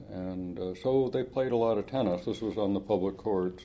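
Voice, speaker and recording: With an American accent, a man speaks at a fairly low pitch in a dark, mellow tone with ordinary pitch variation, and audible room echo is present. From Los Angeles, US. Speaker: professor. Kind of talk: interview. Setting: in person at a conference. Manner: hesitant, many fillers.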